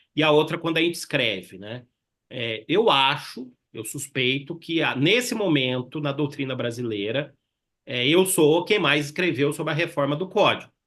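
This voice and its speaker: A man speaks at a moderate pace in a Minas Gerais caipira accent. His pitch sits fairly high, and his intonation is lively. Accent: caipira (Minas Gerais) accent, kept. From Minas Gerais, Brazil. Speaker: law professor. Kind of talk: webinar panel discussion. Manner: conversational, many fillers.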